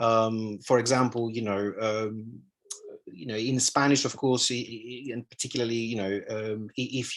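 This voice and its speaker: The speaker has a Greek accent and fairly even intonation. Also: man. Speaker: analytical psychologist. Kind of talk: lecture. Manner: halting, many fillers and repetitions.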